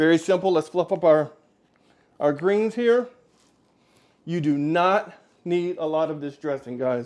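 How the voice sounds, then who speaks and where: Speaking with an American accent at a fairly slow pace, the voice leaves long, frequent pauses over a quiet background. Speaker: cooking show host. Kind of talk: cooking tutorial. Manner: loud; animated.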